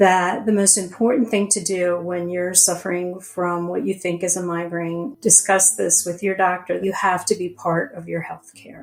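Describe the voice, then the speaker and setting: A woman speaks at a medium pitch. Noticeable background noise sits behind her. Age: 60s. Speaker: migraine patient. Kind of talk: testimony.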